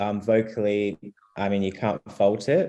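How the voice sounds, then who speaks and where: Taking a fairly slow pace, a man speaks in an Australian accent. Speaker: Eurovision commentator. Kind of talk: casual panel discussion.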